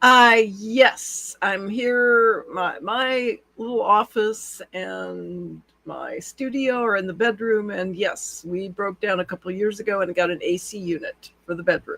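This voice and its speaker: A man with an American accent projects a raised voice at a high pitch, in a bright, sharp tone with ordinary pitch variation. His pace is fairly slow, with hardly any pauses. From US Pacific Northwest. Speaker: radio show host. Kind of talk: podcast interview talk. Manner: casual, chatty.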